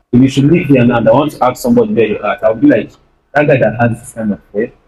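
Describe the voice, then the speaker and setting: A man with a dark, mellow, somewhat breathy voice of medium pitch talks at a very fast pace with ordinary pitch variation. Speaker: videographer and video editor. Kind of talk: guest talk at youth church. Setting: church stage with audience.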